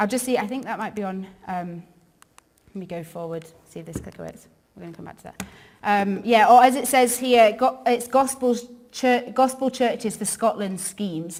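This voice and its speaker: A woman with an English accent talks at a moderate pace and a fairly high pitch. Her pitch variation is ordinary, with big swings in loudness. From northern England, York. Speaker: ministry worker. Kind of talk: church talk. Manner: casual, many fillers.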